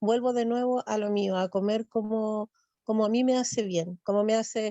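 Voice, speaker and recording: A woman's fairly high voice moves at a moderate pace, her intonation fairly even. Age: 60s. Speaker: church class participant. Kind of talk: testimony. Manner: halting.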